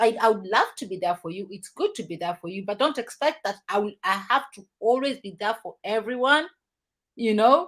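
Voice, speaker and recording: A woman's unremarkable speaking voice, fairly high in pitch, with lively intonation, big swings in loudness and a moderate pace. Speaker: talk show host. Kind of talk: casual chat.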